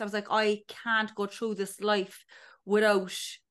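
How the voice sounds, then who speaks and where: Over a quiet background, a woman with a Cork accent talks at a moderate pace in a fairly high pitch. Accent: Cork Irish. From Ireland, North County Cork. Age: 30s. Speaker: TV production worker and podcaster. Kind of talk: casual chat.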